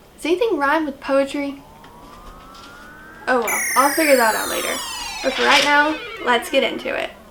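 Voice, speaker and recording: Amid noticeable background noise, a woman with a high pitch uses a raised, projected voice at a moderate pace, with ordinary pitch variation and long, frequent pauses. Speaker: slam poet. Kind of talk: casual talk to camera.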